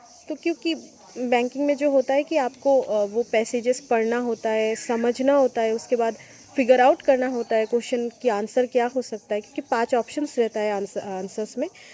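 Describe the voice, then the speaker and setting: In a Bengali accent, a woman speaks at a high pitch with fairly even intonation. Her sound is dry and close, with no echo. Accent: Bengali-accented Hindi. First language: Bengali (speaking Hindi). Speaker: exam-prep vlogger, bank job aspirant. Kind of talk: casual tutorial vlog. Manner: halting, with many fillers.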